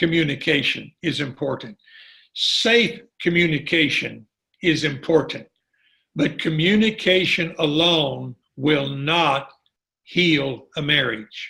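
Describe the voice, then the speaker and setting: Fairly high male voice with vocal fry, fairly slow pace and ordinary pitch variation. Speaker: marriage and family therapist. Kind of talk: online teaching session. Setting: online call.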